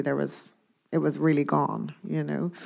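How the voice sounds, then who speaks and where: A woman with a Dublin accent is heard on a very clean recording with a silent background. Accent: Irish (Dublin). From Ireland, Dublin. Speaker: sculptor. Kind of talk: onstage public conversation. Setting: stage with audience.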